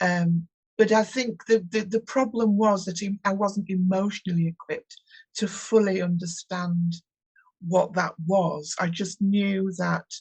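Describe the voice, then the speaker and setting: A woman with a northern English accent speaks at a fairly slow pace. Her voice is somewhat breathy, and her intonation stays fairly even. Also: medium pitch for a woman. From northern England, West Yorkshire (Huddersfield). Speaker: tarot reader. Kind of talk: interview. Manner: halting.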